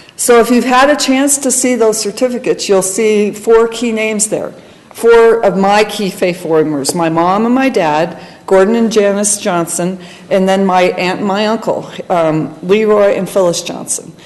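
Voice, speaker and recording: Against noticeable background noise, a woman at medium pitch speaks at a moderate pace with ordinary pitch variation. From Colorado, US. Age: 50s. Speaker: church member sharing testimony. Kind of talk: testimony.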